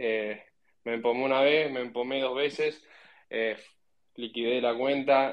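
A man's medium-pitched voice at a fairly slow pace, with flat, monotone intonation. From Argentina. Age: 20s. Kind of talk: casual panel discussion. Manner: halting with many repetitions.

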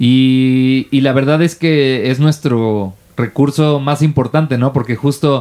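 This man has a dark, mellow tone at a medium pitch. He speaks at a very slow pace, with fairly even intonation and very even loudness. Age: 30s. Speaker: podcast co-host. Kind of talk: casual chat.

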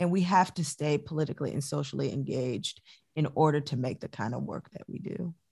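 In an American accent, a woman with a very deep, low pitch and a dark, mellow tone talks at a fairly quick pace, using vocal fry and ordinary pitch variation. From Chicago suburbs, US Midwest. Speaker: dancer, choreographer and professor. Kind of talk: interview.

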